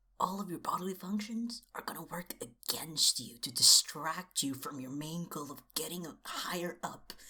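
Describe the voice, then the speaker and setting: Whispering at a moderate pace, the speaker barely pauses. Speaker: video essayist / book commentator. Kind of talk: casual commentary. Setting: at home at midnight.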